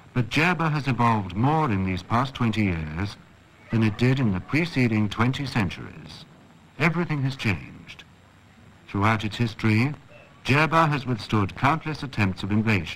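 With lively intonation, a man speaks in a normal speaking voice at a medium pitch and a moderate pace. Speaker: documentary narrator. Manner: formal; measured, even-paced.

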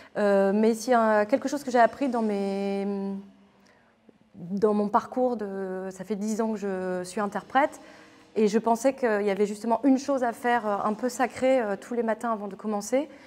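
Fairly slow delivery with fairly even intonation. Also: woman, fairly high pitch for a woman. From northern France, near Lille; northern France. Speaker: theatre artist. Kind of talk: interview. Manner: hesitant, many filler sounds. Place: hall.

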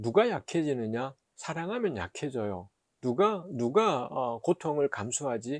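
At a fairly slow pace, a man speaks with a fairly high pitch and very wide pitch swings, the sound dry with no echo over a quiet background. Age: middle-aged. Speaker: professor and theologian; theology professor. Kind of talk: short Bible reflection talk. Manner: hesitant, many filler sounds. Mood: earnest, reflective. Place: office. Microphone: lapel.

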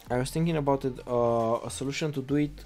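Fairly high in pitch, a man with a Romanian accent speaks with fairly even intonation. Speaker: web developer, coding teacher. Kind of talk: live-stream coding tutorial. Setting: live stream with chat. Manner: halting, many fillers.

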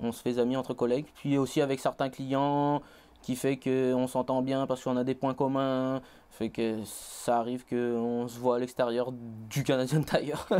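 A man's dark, mellow voice at a fairly slow pace in a monotone, flat intonation. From Réunion, Saint-Pierre; Réunion. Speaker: college student; interview guest. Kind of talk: interview. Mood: calm, personal, reflective. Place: studio. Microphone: lapel.

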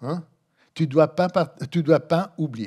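A man speaks at a fairly high pitch against a quiet background. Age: 60s. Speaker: philosophy professor; conference speaker. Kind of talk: conference lecture. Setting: conference room with audience. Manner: halting, many hesitations. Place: hall. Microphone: podium.

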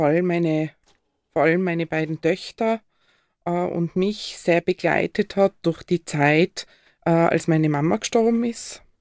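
A woman speaks with a fairly low pitch and ordinary pitch variation. The sound is dry and close, with no echo. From Austria, Tyrol (Lechaschau, then Innsbruck). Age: 50s. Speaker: telephone crisis counselling manager and marriage counsellor. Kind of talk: live radio interview. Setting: radio studio.

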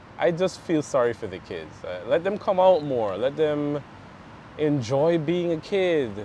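A man with a Caribbean accent speaks at a fairly high pitch and a fairly slow pace, his pitch swinging very widely. The sound is dry with no echo, over light background noise. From Belize, raised there after birth in Guyana. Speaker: interview guest. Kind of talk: casual interview. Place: garden. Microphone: lapel.

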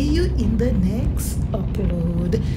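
Music in the background behind a woman speaking. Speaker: vlogger. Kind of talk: casual vlog chat. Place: car.

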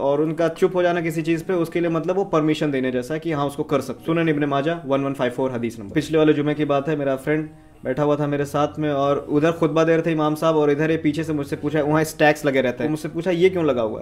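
Hardly pausing, a man with a fairly high pitch speaks at a fairly quick pace in fairly even intonation. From eastern Uttar Pradesh, India. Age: 20s. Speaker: vlogger, master's student. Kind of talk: religious explanation to camera. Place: home room. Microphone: phone near.

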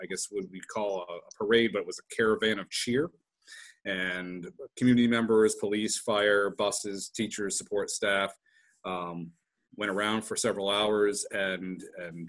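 This man has an unremarkable speaking voice, fairly low in pitch, with fairly even intonation. He keeps a moderate pace over a quiet background. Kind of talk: meeting report. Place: home room. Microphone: video call.

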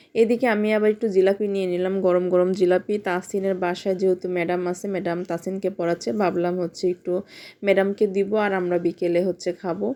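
Her medium pitch stays monotone and flat as the woman talks. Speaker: family vlogger, mother. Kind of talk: vlog narration.

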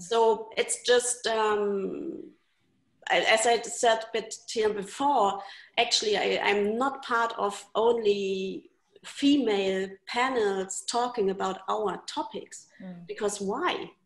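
Speaking at a very slow pace, a woman with a fairly high pitch uses ordinary pitch variation and big swings in loudness, with audible room echo around her. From Germany. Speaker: arts funding representative; panelist. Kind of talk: online panel discussion. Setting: video call. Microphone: video call.

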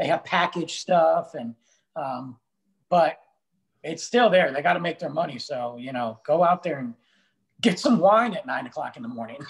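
A man speaks at a moderate pace with lively intonation and big swings in loudness. His long, frequent pauses sit against a quiet background. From Italian-American. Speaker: author and humorist; co-host. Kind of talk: casual chat. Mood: joking, humorous storytelling. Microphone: video call.

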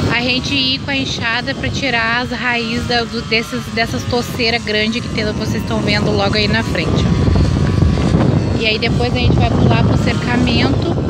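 A woman at a moderate pace with hardly any pauses, amid noticeable background noise. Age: 30s. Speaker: vlogger, mother of four. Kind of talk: casual vlog talk to camera. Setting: outdoors with lawn machine noise.

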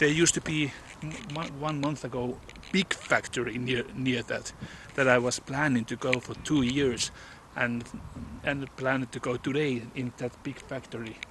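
Over noticeable background noise, a man talks at a moderate pace with fairly even intonation, the sound dry with no echo. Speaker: urban explorer vlogger. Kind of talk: casual vlog chat. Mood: curious, slightly nervous. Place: street. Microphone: phone near.

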